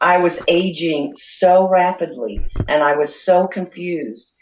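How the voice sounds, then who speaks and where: Using a normal speaking voice, a woman talks at a fairly slow pace and fairly low pitch with ordinary pitch variation. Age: 60s. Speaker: essential oils author. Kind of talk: interview.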